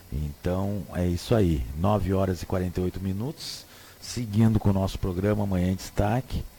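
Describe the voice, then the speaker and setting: Speaking at a moderate pace, a man has a very deep, low pitch, a dark, mellow tone, some breathiness and ordinary pitch variation. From Rio Grande do Sul, southern Brazil. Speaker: radio host. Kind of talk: radio talk show commentary. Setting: radio studio. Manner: casual, hesitant with repetitions.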